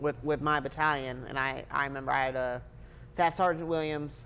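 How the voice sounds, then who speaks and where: Here a man speaks with an American accent at a moderate pace. His tone is bright and sharp, his intonation fairly even. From Blythe, California. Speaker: war veteran and police officer. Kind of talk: interview conversation. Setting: restaurant.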